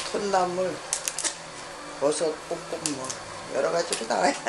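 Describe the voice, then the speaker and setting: Noticeable background noise fills the recording. The speaker is a woman. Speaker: restaurant owner. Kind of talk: interview answer. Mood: warm, cheerful. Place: kitchen.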